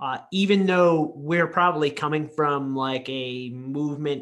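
A man with a plain, everyday voice, fairly high in pitch, with fairly even intonation. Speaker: podcast co-host, physiotherapist. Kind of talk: casual interview chat.

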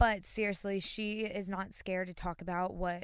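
A woman speaks in a medium-pitched voice with an American accent and monotone, flat intonation. The recording is very clean, with a silent background. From North Carolina, US South. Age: 20s. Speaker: podcast co-host. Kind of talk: casual chat.

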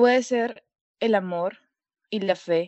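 Her intonation fairly even, a woman is speaking. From Peru. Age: 19. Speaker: university student, singer. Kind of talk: interview. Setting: call from home.

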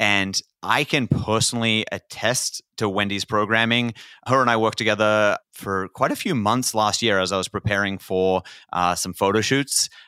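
With an Australian accent, a man at a fairly low pitch speaks at a moderate pace in fairly even intonation and a bright, sharp tone, his sound dry and close with no echo in a very clean recording with a silent background. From Australia, northern New South Wales. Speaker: podcast host. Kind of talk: casual interview chat.

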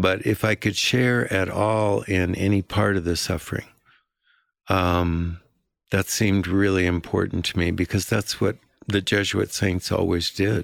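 With a very deep, low pitch, a man talks at a fairly slow pace in a monotone, flat intonation, keeping his loudness very even. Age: 70s. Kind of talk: interview storytelling. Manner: halting.

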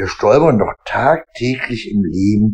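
With lively intonation, a man talks at a medium pitch in a somewhat breathy voice. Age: 40s. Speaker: podcaster. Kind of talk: casual monologue. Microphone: AirPods and iPhone.

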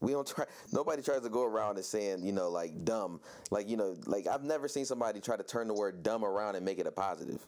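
Very fast and very even in loudness, a man speaks at a fairly low pitch with ordinary pitch variation. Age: 30s. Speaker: podcast host. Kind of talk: interview.

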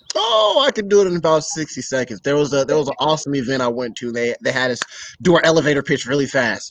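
Noticeable background noise sits behind a man's fairly high voice. He talks at a very fast pace with lively intonation. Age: 20s. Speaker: young business owner. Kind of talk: casual interview conversation.

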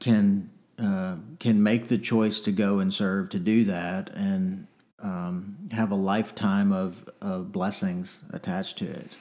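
A man with an American accent talks at a very slow pace in a fairly low pitch, his tone dark and mellow and his intonation monotone and flat. The recording is very clean, with a silent background. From North Texas. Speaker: real estate association executive. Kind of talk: casual interview.

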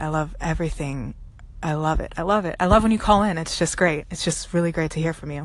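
With an unremarkable speaking voice, a woman speaks fairly quickly at a fairly low pitch, her intonation fairly even. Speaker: poet.

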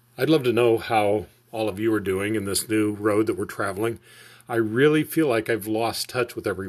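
The clip has an unforced reading voice. It is delivered that way throughout.

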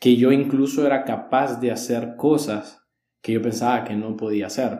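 Against audible room echo, a man talks at a moderate pace in a dark, mellow tone with fairly even intonation. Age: 20s. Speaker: church leadership teacher. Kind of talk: casual chat on faith.

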